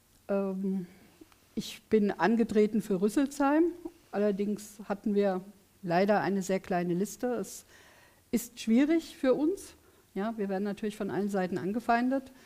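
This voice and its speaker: In a dark, mellow tone, a woman speaks with long, frequent pauses. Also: lively intonation, fairly slow pace. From Königstetten, Hesse; Hesse. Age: 50s. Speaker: politician. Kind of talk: election debate. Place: studio.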